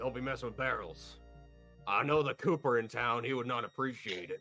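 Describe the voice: A man puts on a gruff character voice at a medium pitch and a fairly quick pace. Faint music plays in the background.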